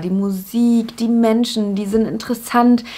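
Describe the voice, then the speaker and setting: At a very slow pace, a woman talks with fairly high pitch. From Germany, Upper Franconia (Bavaria). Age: 20s. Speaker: YouTuber, TV presenter. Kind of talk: casual to-camera introduction vlog. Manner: animated.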